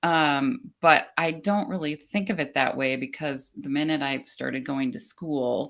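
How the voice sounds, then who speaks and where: A woman with a very deep, low voice and vocal fry talks at a fairly slow pace with lively intonation. The recording is very clean, with a silent background. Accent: American. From United States, Czech immigrant family. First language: Czech. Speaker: business coach. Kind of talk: casual interview chat.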